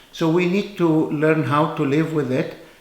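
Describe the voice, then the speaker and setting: Audible room echo surrounds a man with an Egyptian accent, whose fairly high pitch carries fairly even intonation. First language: Arabic. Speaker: physician. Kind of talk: informal talk to camera. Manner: hesitant, with fillers.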